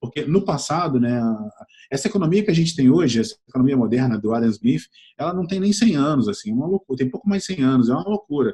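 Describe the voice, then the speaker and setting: This man has a Rio de Janeiro accent and a fairly high, somewhat breathy voice. His tone is dark and mellow, with lively intonation. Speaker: entrepreneur and innovation mentor. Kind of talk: interview. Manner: hesitant, many fillers and repetitions.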